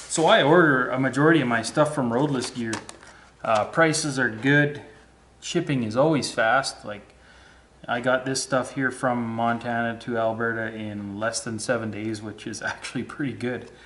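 At a moderate pace with ordinary pitch variation, a man talks over light background noise. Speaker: home mechanic vlogger. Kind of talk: casual vlog chat. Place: garage. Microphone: phone near.

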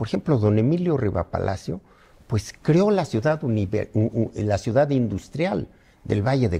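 A man talks at a medium pitch in a dark, mellow, somewhat breathy tone. His pace is fairly slow, and his pitch swings very widely. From Mexico, Morelos; Mexico. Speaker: veteran politician; interviewee. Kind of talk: interview. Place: home room.

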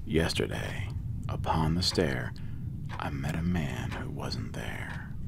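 Noticeable background noise surrounds a man whispering very slowly. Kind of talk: poetry reading.

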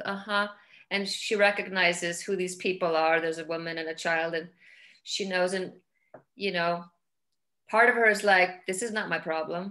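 A woman with a bright, sharp tone and medium pitch speaks against a quiet background. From Iceland. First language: Icelandic. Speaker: film director; guest. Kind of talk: interview. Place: home room. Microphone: video call.

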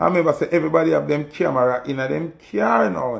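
A man's voice with vocal fry, over a quiet background. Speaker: music artist commenting. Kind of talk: casual vlog commentary. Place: home room. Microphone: phone near.

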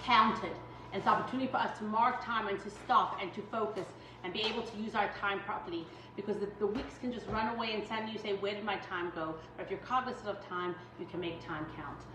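A woman at a very fast pace, fairly even intonation, noticeable background noise behind her. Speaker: home baking instructor. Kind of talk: tutorial. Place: kitchen. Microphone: camera far.

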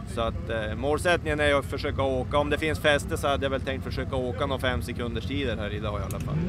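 A man speaks at a very fast pace with hardly any pauses and very wide pitch swings. The sound is dry with no echo, though background noise is noticeable. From northern Sweden. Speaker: drag racer. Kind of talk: casual interview. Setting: outdoors. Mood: calm, matter-of-fact. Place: open country. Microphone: handheld.

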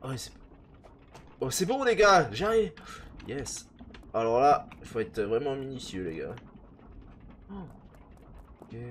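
A man with a fairly high pitch speaks very slowly, leaving long, frequent pauses. His pitch swings very widely and his loudness swings a lot. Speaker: gaming youtuber. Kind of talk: let's play commentary. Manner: animated.

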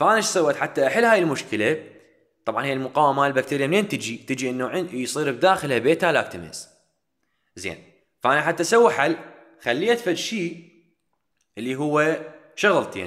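In an Iraqi accent, a man with a fairly high pitch talks at a moderate pace, his pitch swinging very widely between long, frequent pauses. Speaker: dental pharmacology lecturer. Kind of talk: lecture.

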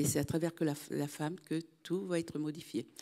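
Over a quiet background, a woman talks in a fairly low voice with a dark, mellow tone. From Martinique. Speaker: audience member, association president; audience member. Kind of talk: audience question. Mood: earnest, reflective. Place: hall.

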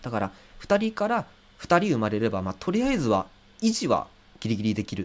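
A man at a fairly quick pace, broken by long, frequent pauses. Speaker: musician and livestreamer; livestreamer. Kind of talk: casual livestream talk. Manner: many filler hesitations. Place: home room.

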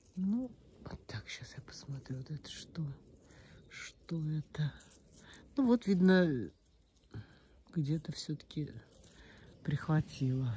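A woman speaks very slowly with long, frequent pauses, her voice very deep and low, somewhat breathy, with a dark, mellow tone. Her pitch swings very widely, and there is light background noise. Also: big swings in loudness, dry sound with no echo. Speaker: gardening video blogger. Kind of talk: casual garden tour vlog. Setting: outdoors in her garden. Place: garden. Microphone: phone near.

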